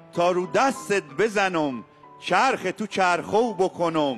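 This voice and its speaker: Over music in the background, a man speaks at a very slow pace. His pitch is high. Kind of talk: poetry reading.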